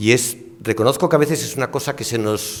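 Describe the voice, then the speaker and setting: Speaking at a fairly quick pace, a man with a medium pitch shows ordinary pitch variation. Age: 60s. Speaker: ecology professor and scientist. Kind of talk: panel discussion. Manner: hesitant, with fillers.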